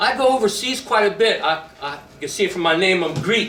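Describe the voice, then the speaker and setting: A man with an American accent uses a raised, projected voice at a high pitch and lively intonation, amid audible room echo and noticeable background noise. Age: 60s. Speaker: army veteran. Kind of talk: speech at a rally. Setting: stage with audience. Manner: impassioned.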